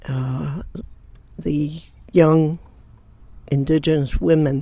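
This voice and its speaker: With a dark, mellow tone, a woman speaks very slowly at a very deep, low pitch and fairly even intonation. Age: 80s+. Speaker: elder water protector activist. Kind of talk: interview testimony. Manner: halting.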